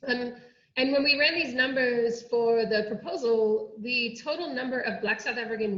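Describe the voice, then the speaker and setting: Amid audible room echo and noticeable background noise, a woman talks with an American accent. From United States. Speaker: oceanography researcher. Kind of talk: online workshop presentation.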